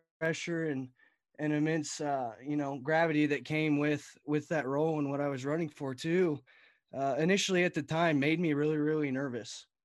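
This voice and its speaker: The recording is very clean with a silent background. A man speaks fairly quickly at a fairly high pitch, with fairly even intonation. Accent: Texas. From Texas Panhandle. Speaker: college student and retiring youth livestock association director. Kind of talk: casual interview.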